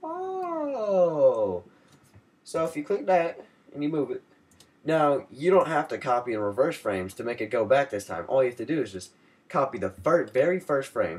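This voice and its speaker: A man with a fairly high pitch speaks at a moderate pace, his voice making very wide pitch swings on a very clean recording with a silent background. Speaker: software tutorial maker. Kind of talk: tutorial. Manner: casual, rambling with fillers.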